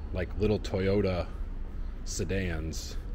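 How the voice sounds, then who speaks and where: A man speaks with an American accent at a very deep, low pitch. Light background noise is present. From United States, Chicago. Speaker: travel vlogger. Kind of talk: vlog walkthrough. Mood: enthusiastic, curious. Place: hall. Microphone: phone near.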